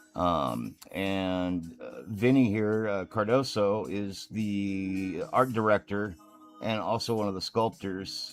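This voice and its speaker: Over music in the background, a man talks at a very slow pace, his fairly low pitch showing ordinary variation. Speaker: miniature painter and streamer. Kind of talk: live stream tutorial chat. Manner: casual, halting with fillers. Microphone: microphone connection trouble at start.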